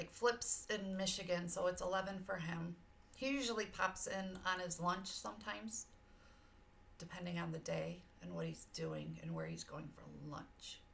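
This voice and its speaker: The speech moves at a moderate pace with big swings in loudness over noticeable background noise. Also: woman. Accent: American. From US South, Georgia. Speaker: streamer. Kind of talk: casual chat. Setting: live stream. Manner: animated.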